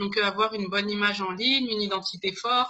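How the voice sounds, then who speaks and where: This is a woman speaking. Her pace is fairly quick. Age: 30s. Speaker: business consultant. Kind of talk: interview. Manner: hesitant, many fillers.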